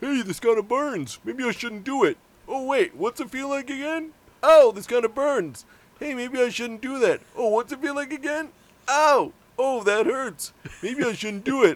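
This put-on character voice is high in pitch and moves at a moderate pace. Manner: goofy, repetitive, comedic.

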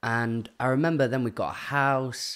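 A man with a British accent at a fairly slow pace, on a very clean recording with a silent background. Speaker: podcast guest. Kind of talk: casual interview chat.

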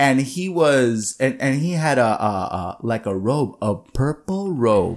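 A man's medium-pitched voice at a very slow pace, with lively intonation. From Puerto Rico, Adjuntas. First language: Spanish. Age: 20s. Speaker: musician. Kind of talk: casual chat.

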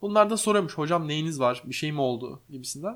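Over a silent background on a very clean recording, a man talks at a fairly quick pace with lively intonation. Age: 20s. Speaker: podcast host, streamer and interior architect. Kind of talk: casual chat. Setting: home living room.

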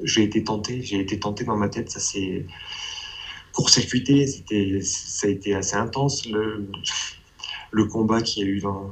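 A man's fairly low voice in a flat monotone, fairly slow, with long, frequent pauses, over noticeable background noise. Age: 30s. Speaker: abuse survivor giving testimony. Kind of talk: testimony. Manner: halting.

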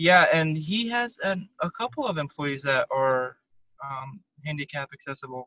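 A speaker with a Southwestern US accent talks at a moderate pace in a bright, sharp tone. The sound is dry and close, with no echo. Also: man, fairly high pitch for a man. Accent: American (US Southwest). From Arizona, Tucson. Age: 30s. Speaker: spinal cord injury survivor. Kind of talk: interview.

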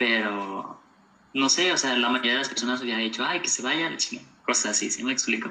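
A man's medium-pitched voice at a fairly quick clip, with ordinary pitch variation, noticeable background noise and audible room echo. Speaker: podcast guest, university graduate. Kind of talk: casual interview.

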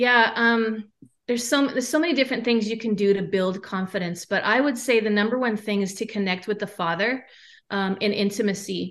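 With an unremarkable speaking voice, a woman talks at a fairly high pitch and a fairly quick pace, showing ordinary pitch variation against a quiet background. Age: 40s. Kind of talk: testimony.

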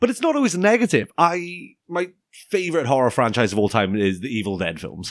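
A man with a fairly high voice and vocal fry talks at a fairly quick pace. His pitch swings very widely, and he hardly pauses at all. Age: 20s. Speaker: podcast host. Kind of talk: casual chat. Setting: studio.

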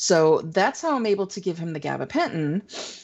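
A woman speaks at a moderate pace. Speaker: podcast co-host. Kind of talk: casual chat.

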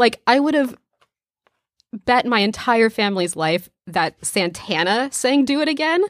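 Her pitch fairly high and swinging very widely, a woman speaks at a fairly slow pace. Her loudness stays very even, and the sound is dry and close with no echo. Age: 20s. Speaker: podcast co-host. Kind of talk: casual chat.

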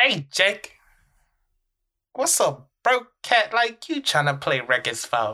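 A man performs a put-on character voice. His pace is fairly slow. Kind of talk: street slang, gruff. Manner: scolding, mocking.

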